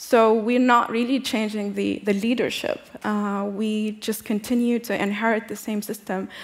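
A woman speaks at a moderate pace with a fairly high pitch. Her intonation is monotone and flat. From Tunisia. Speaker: activist and diplomat; speaker. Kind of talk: panel discussion. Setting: stage with audience. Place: stage. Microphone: headset.

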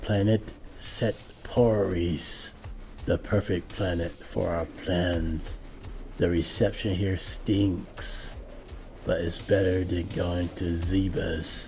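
Over clear background noise, a man does a cartoonish character voice with a very deep, low pitch at a very slow pace. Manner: grumbling, eager, sneaky.

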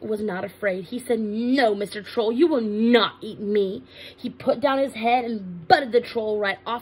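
The speaker is reading aloud in a natural voice.

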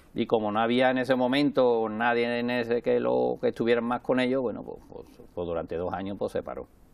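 A man at a fairly quick pace, fairly even in intonation, with big swings in loudness. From Andalusia, Alcalá de Guadaíra (Seville); Andalusia. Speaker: president of a local parade association; interview guest. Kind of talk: interview. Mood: relaxed, smiling, nostalgic. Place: studio. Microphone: lapel.

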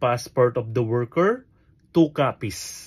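Somewhat breathy, a man speaks at a fairly slow pace and a medium pitch with ordinary pitch variation. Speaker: vlogger for overseas workers. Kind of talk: tutorial. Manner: halting, many fillers.

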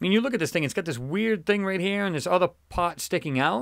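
On a very clean recording with a silent background, a man talks very fast at a high pitch with very wide pitch swings. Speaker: YouTube channel host analyzing space images. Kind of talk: casual video commentary. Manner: fast talker; casual, filler-heavy speech.

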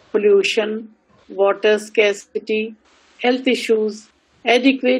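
A woman with an Indian accent speaks at a fairly slow pace and a fairly high pitch. Her pitch varies in an ordinary way against a quiet background. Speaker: university vice chancellor. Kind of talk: formal address. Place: home room. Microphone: video call.

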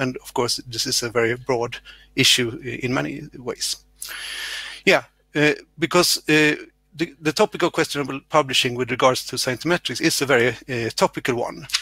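With long, frequent pauses, a man speaks at a moderate pace in a bright, sharp tone with ordinary pitch variation, the sound dry with no echo and the background quiet. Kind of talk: conference session introduction. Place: home room. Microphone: headset.

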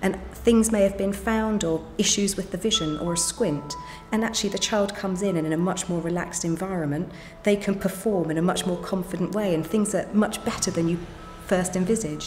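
A woman's voice with fairly even intonation over music in the background. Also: fairly quick pace. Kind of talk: interview answer. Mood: calm, reassuring. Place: home room.

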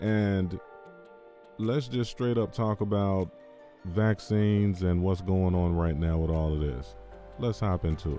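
A man with a very deep, low voice speaks at a fairly slow pace, with ordinary pitch variation and long, frequent pauses. The sound is dry with no echo, and faint music plays in the background. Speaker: crypto and commentary channel host. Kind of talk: casual talk to camera. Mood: sarcastic, wry. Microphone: studio mic.

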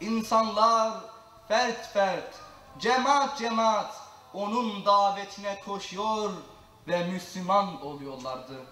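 A man's high, raised and projected voice, very slow with lively intonation, amid audible room echo. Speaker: Qur'an reciter and mosque lecturer. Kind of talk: religious lecture (sermon) in Turkish. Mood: solemn, measured. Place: church.

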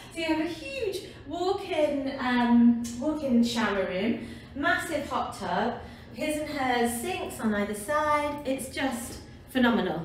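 A woman speaks at a very slow pace in a high pitch. Audible room echo and light background noise surround her voice. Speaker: travel vlogger. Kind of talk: casual vlog chat. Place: home room. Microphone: camera far.

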